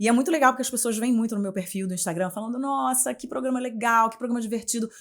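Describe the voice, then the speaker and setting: On a very clean recording with a silent background, a woman talks at a very fast pace and fairly high pitch, with ordinary pitch variation and big swings in loudness. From Rio de Janeiro, Brazil. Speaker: journalist and communication mentor. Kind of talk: podcast interview. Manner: animated.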